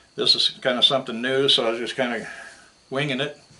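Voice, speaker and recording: A man talks at a fairly quick pace with an American accent and a medium pitch. Noticeable background noise sits behind him. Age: 60s. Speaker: scrap metal YouTuber. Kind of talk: casual vlog talk to camera. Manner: casual, hesitant with fillers.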